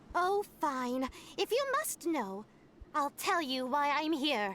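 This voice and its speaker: In a put-on character voice, a female-sounding voice with a high pitch speaks at a fairly slow pace. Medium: game stream. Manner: cheeky, brash.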